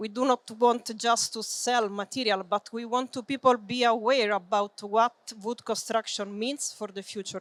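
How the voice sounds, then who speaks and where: A woman with an Italian accent talks at a moderate pace in a fairly high voice, with hardly any pauses and fairly even intonation. Her loudness swings widely, and the sound is dry and close with no echo. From Italy. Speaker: business development manager and building engineer. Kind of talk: conference presentation. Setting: trade fair seminar with audience. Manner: hesitant, many fillers.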